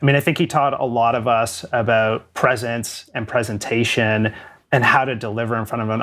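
A man with a Canadian accent uses an ordinary speaking voice at medium pitch, talking at a moderate pace with fairly even intonation. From Canada. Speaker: sales executive. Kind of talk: interview.

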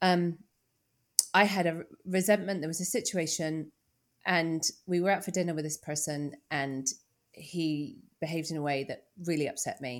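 On a very clean recording with a silent background, a woman with a British accent speaks at a fairly low pitch. She keeps a moderate pace with long, frequent pauses. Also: ordinary pitch variation. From UK. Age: 50s. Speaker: sobriety coach and author. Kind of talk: interview conversation.

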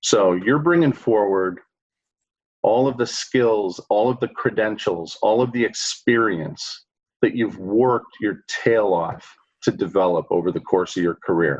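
It is a normal speaking voice. Pitch variation is ordinary. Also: man, fairly low pitch for a man. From US Midwest, Chicago area. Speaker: accounting firm consultant. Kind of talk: interview.

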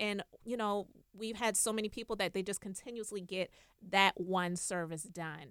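In a very clean recording with a silent background and a dry, close sound with no echo, a woman with an American accent uses an ordinary speaking voice at medium pitch, fairly even intonation and a fairly quick pace. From Charleston, South Carolina. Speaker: beauty entrepreneur.

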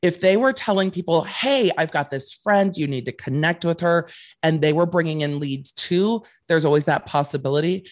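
A woman's plain, everyday voice, fairly low in pitch, at a moderate pace with lively intonation. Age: 40s. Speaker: lawyer and legal commentator. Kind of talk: casual chat.

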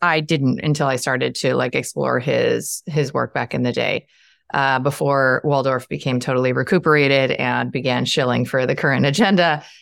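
A woman at a moderate pace with very even loudness and hardly any pauses, in a quiet background. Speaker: holistic psychiatrist and author. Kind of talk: casual interview conversation.

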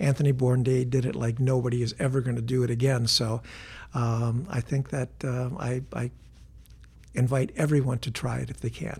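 A man's somewhat breathy, medium-pitched voice with an American accent, monotone and flat, at a moderate pace on a very clean recording with a silent background. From Wisconsin, north of Green Bay. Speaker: sports photographer. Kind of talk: interview.

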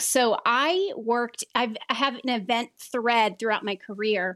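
In a plain, everyday voice, a woman with an American accent speaks at a fairly slow pace and fairly high pitch, recorded very cleanly against a silent background. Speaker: pharmacy advocate. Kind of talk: casual interview conversation.

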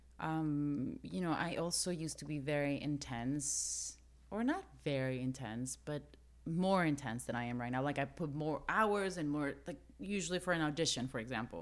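A woman with a Spanish accent speaks at a moderate pace, her very deep, low voice carrying lively intonation. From Mexico. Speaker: actress. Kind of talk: casual chat.

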